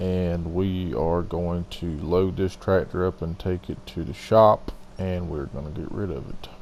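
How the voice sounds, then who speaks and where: A man speaks with a Southern US accent in a very deep, low pitch. His intonation is fairly even, at a fairly slow pace with hardly any pauses. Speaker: gaming video host. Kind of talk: gameplay commentary voiceover. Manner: loud.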